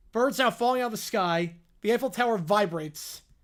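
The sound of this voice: Reading in an unforced voice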